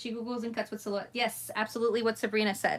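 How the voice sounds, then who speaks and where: This woman has a Spanish accent. Her pitch is fairly high. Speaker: crafting YouTuber. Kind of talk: live craft tutorial chat. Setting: livestream.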